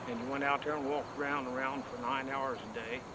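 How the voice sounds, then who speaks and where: Noticeable background noise and audible room echo accompany a man with a fairly high pitch and an American accent. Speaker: oil field old-timer. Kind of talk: reminiscence.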